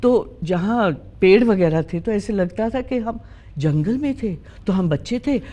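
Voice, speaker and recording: A woman with a dark, mellow tone speaks at a medium pitch with lively intonation. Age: 60s. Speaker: interview guest. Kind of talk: interview conversation.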